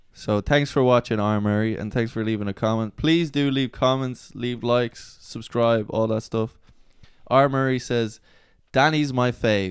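The background is quiet and the sound dry with no echo. A man with an Irish accent speaks fairly slowly, his intonation fairly even. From Ireland. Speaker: host's son. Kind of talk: casual chat. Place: home room. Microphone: handheld.

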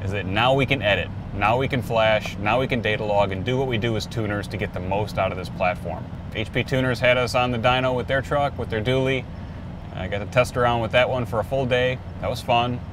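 Noticeable background noise surrounds a man talking at a fairly quick pace with fairly even intonation. The sound is dry, with no echo. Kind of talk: casual vlog chat. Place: car. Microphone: phone near.

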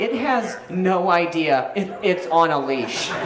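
Over noticeable background noise, a man speaks with a high pitch and ordinary pitch variation. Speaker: stand-up comedian. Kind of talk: stand-up comedy set with audience laughter, joke-driven storytelling about dog walking. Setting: stage with audience. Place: stage. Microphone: handheld.

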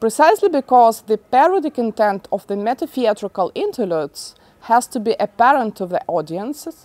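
A woman speaks at a moderate pace with lively intonation, a fairly high pitch, and a dark, mellow tone, in a dry, close sound with no echo.

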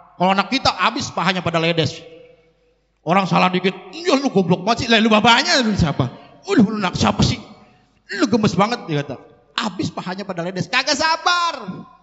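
A man speaks at a high pitch and a fairly quick pace. His pitch swings very widely against a quiet background. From Jakarta. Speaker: preacher. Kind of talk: sermon. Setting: religious gathering. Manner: animated. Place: hall. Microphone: handheld.

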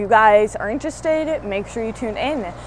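A woman at a moderate pace, in a dry sound with no echo and light background noise. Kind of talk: casual vlog chat. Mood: pleased, enthusiastic. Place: workshop.

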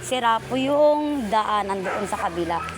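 A woman's intonation stays lively while noticeable background noise runs underneath. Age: 40s. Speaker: vlogger. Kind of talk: casual vlog narration. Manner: animated.

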